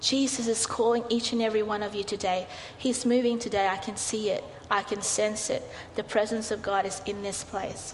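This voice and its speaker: A woman's fairly high, monotone, flat voice at a moderate pace, amid noticeable background noise. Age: 40s. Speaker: pastor. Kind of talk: sermon. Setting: church.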